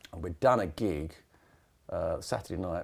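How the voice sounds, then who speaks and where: Speaking with an English accent, a man keeps to a moderate pace. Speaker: rock drummer. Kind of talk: casual interview.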